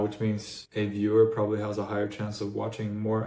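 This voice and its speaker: A man with an American accent, dark, mellow, and somewhat breathy, in a flat monotone at a moderate pace, with audible room echo. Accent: sounds American. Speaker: YouTuber and AI engineer. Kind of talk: casual explainer talk. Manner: casual, with fillers and false starts.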